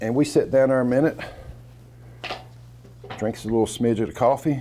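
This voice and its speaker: With an American accent, a man speaks at a fairly quick pace and medium pitch, with fairly even intonation and an unremarkable speaking voice. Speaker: storyteller, former coal miner. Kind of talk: storytelling, casual personal narrative.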